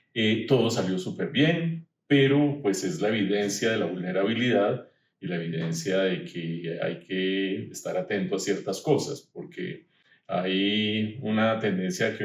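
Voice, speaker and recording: Using a plain, everyday voice, a man speaks at a fairly slow pace with a fairly low pitch and lively intonation. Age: 60s. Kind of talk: podcast interview.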